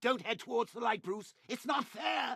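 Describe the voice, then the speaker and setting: Shouting in a put-on character voice, a man speaks at a moderate pace and an extremely high pitch. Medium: video game. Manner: mocking, gleeful.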